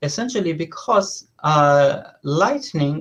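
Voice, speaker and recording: A man's high voice in a French accent, very slow, with ordinary pitch variation against a quiet background. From southern France. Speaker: professor. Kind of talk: lecture. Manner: halting, many fillers.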